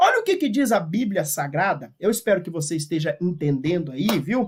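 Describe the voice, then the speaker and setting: A man speaks with very wide pitch swings. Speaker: Bible teacher. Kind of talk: lecture.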